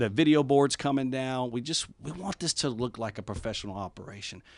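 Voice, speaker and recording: A man speaks at a moderate pace in an unremarkable speaking voice, with medium pitch, ordinary pitch variation and a quiet background. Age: 40s. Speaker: university athletic director. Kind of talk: interview. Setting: studio.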